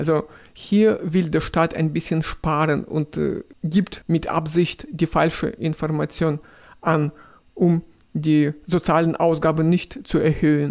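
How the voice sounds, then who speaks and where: A man with a strong Russian accent speaks at a very slow pace. His intonation is fairly even and his loudness very even. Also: very clean recording, silent background. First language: Russian (speaking German). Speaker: video blogger. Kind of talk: casual vlog, answering viewer questions. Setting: riding a tram. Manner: halting, with fillers.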